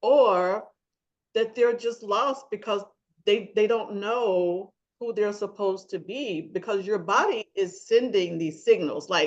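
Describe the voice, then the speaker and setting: Speaking at a fairly slow pace, a woman with an American accent has a plain, everyday voice, medium pitch and ordinary pitch variation. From US South. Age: 60s. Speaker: podcast host, wellness coach. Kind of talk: interview podcast.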